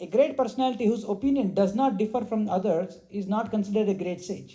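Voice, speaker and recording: A loud man with a high pitch, a dark, mellow tone and lively intonation. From India. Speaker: spiritual teacher. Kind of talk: religious discourse.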